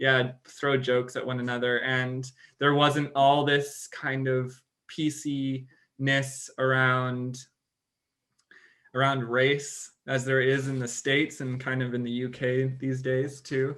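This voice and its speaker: His tone is bright and sharp, with monotone, flat intonation. The man speaks with an American accent at a very slow pace. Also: medium pitch for a man. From Singapore. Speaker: podcast co-host. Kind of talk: casual chat.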